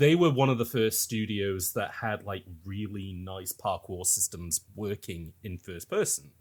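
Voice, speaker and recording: In an ordinary speaking voice, a man talks at a fairly slow pace and fairly low pitch, with ordinary pitch variation and big swings in loudness. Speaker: podcast host discussing video games. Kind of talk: casual podcast discussion.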